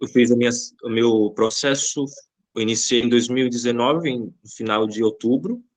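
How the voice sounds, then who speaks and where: This is a man with a plain, everyday voice at a medium pitch. He keeps a moderate pace and fairly even intonation. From Brazil, Bahia. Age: 20s. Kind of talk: podcast interview.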